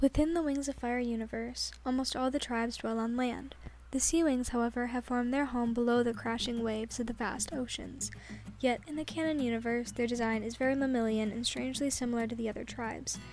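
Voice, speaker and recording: A woman speaks softly at a fairly quick pace. Her pitch is high, and her intonation stays fairly even. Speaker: art YouTuber. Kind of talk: commentary on own artwork. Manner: soft-spoken.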